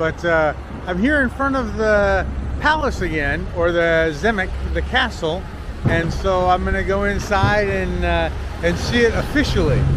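Noticeable background noise surrounds a man whose sound is dry, with no echo. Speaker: travel vlogger. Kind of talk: casual vlog chat. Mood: cheerful, self-deprecating. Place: street. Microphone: phone near.

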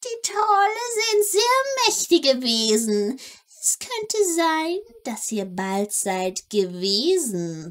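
Putting on a character voice, a woman speaks sing-song at a very slow pace. Her pitch is high and swings very widely. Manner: sing-song rhyming, mysterious.

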